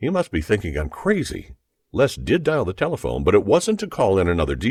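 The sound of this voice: Quiet surroundings and an unforced reading voice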